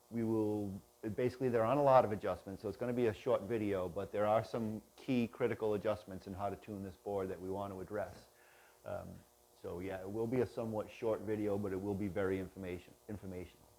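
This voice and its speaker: A man speaks quietly and very fast, his fairly low voice dark and mellow, with fairly even intonation. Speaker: product tutorial host. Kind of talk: tutorial. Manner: quiet, kept down.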